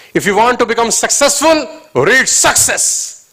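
Using a raised, projected voice, a man with an extremely high pitch speaks at a moderate pace with lively intonation. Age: 30s. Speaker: motivational speaker. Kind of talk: motivational seminar talk. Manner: animated.

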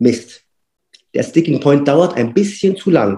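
A man with a normal speaking voice uses lively intonation at a fairly high pitch. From Berlin, Germany. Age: 40s. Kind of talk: casual interview.

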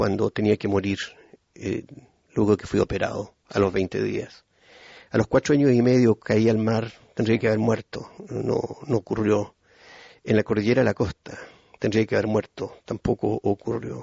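With vocal fry and a fairly low pitch, a man speaks at a moderate pace and fairly even intonation, taking long, frequent pauses. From Chile (Puerto Montt). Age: 50s. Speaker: pastor. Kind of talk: testimony.

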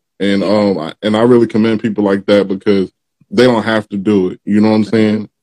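A very fast man's voice, fairly low-pitched, with a dark, mellow tone. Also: dry, close sound with no echo. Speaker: podcast host interviewer. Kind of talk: casual interview chat. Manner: upbeat, energetic.

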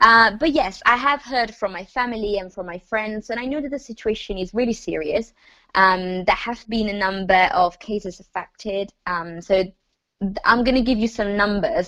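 In an Italian accent, a woman speaks with a fairly high pitch and a bright, sharp tone. Her loudness swings widely. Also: ordinary pitch variation, moderate pace. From northern Italy, Lombardy. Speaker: university student. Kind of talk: casual chat.

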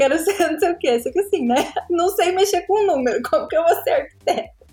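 A woman's lively, fairly quick speech over noticeable background noise. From Brazil, Paraná. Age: 20s. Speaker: graphic designer and content creator. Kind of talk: casual interview chat.

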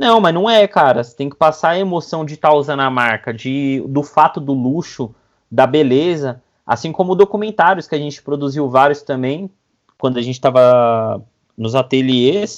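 A man with an unremarkable speaking voice talks at a moderate pace in a fairly high pitch with ordinary pitch variation. His loudness swings widely, and the background is quiet. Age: 30s. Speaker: videomaker. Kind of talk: casual interview.

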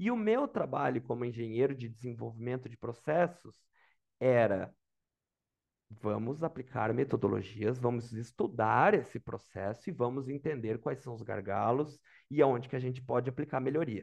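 A man's medium-pitched voice with vocal fry, a moderate pace, big swings in loudness and ordinary pitch variation. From Brazil, Santa Catarina highlands (Lages area). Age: 30s. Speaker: product manager job seeker. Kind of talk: mock job interview, casual.

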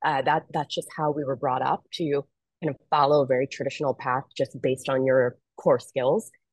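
Someone with an American accent speaks at a moderate pace with fairly even intonation. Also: woman, very deep, low pitch for a woman. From US Northeast, Philadelphia. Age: 30s. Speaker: ocean conservation expedition leader and marketing strategist. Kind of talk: interview.

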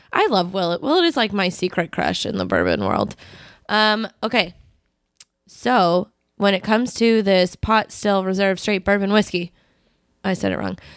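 On a very clean recording with a silent background, a woman talks at a medium pitch and moderate pace, with long, frequent pauses. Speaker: podcast host. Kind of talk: casual chat. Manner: loud, animated.

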